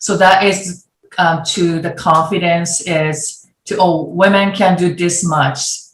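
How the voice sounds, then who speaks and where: With audible room echo, the voice sounds somewhat breathy and keeps a fairly even intonation. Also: woman. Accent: Japanese. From Japan. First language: Japanese. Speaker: former ice hockey goaltender and designer. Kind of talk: virtual panel discussion. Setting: video call. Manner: halting.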